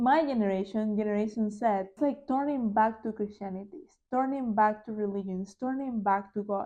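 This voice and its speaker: With a Spanish accent, a woman speaks at a moderate pace in a fairly high voice with a dark, mellow tone. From Panama. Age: 20s. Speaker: podcast host. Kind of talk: casual chat; testimony. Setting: home living room.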